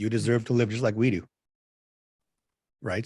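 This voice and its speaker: Fairly quick speech from a man, medium in pitch. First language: not English (English is third language). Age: 40s. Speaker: spiritual channeler. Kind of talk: casual interview chat.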